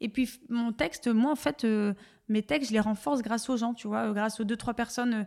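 A woman with a normal speaking voice talks at a moderate pace, her fairly high pitch carried by fairly even intonation. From northern France, Dunkirk. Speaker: beginner stand-up comedian. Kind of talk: casual interview chat.

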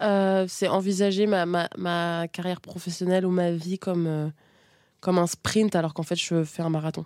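A woman's fairly low voice keeps a monotone, flat intonation at a moderate pace in a very clean recording with a silent background. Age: 20s. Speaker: sex education content creator. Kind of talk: casual interview.

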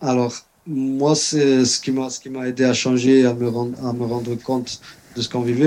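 Dark, mellow tone in a flat monotone. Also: man. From southern France, Spanish Gitano community. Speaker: guest giving testimony. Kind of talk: testimony. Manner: halting.

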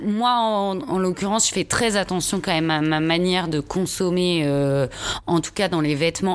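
A woman talks fairly slowly, her pitch varying in an ordinary way. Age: 30s. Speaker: fashion brand founder. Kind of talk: casual chat.

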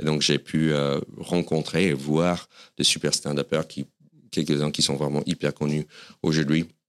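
A man's very deep, low voice in an American accent, monotone and flat, with long, frequent pauses and a dry, close sound with no echo. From US Northeast, Westchester County, New York. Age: 40s. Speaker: stand-up comedian. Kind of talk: casual interview. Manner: halting, many repetitions and fillers.

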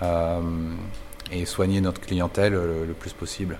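A man speaks with very deep, low pitch and fairly even intonation. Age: 50s. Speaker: bicycle saddle maker. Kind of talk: interview. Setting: workshop. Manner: halting, many hesitations.

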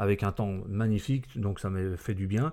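At a fairly quick pace, a man speaks in a fairly low, flat monotone. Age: 50s. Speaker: former professional footballer, now grounds caretaker. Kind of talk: casual podcast interview. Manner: halting, repeats words.

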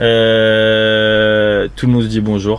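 Noticeable background noise sits behind a man speaking very slowly at medium pitch. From Île-de-France, France. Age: 30s. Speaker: streamer. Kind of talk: live stream chat. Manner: animated.

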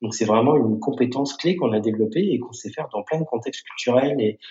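A somewhat breathy man at a medium pitch, very fast in pace, with ordinary pitch variation. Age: 40s. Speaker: social entrepreneur, founder of a digital training school network. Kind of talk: podcast interview.

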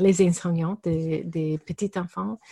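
On a very clean recording with a silent background and a dry, close sound with no echo, a woman speaks in a dark, mellow tone at a fairly low pitch with fairly even intonation. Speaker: pastor. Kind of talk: interview. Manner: halting.

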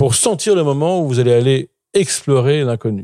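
A dark, mellow voice comes through with a dry, close sound and no echo, moving at a fairly slow pace with ordinary pitch variation. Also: man. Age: 40s. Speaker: philosopher and writer. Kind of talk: interview.

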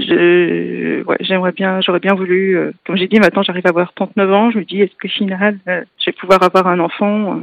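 A woman's medium-pitched voice in a monotone, flat delivery at a moderate pace, with hardly any pauses. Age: 30s. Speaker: patient with a genetic disease. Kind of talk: testimony. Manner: halting.

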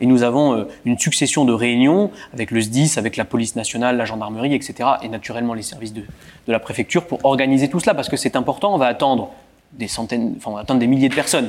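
Through noticeable background noise, a man speaks very fast at a medium pitch with ordinary pitch variation. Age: 30s. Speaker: local politician. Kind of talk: interview. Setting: stage with audience.

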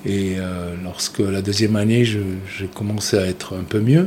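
With noticeable background noise behind him, a man speaks fairly slowly at a fairly low pitch and with fairly even intonation. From Tunisia (Carthage, near Tunis). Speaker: artist. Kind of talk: interview. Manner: hesitant, many fillers.

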